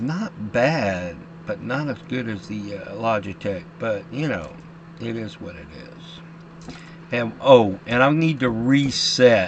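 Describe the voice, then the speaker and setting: Very slow speech from a man at medium pitch, with very wide pitch swings, big swings in loudness and noticeable background noise. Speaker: flight sim gamer. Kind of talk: casual gameplay commentary. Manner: halting, stumbles over words.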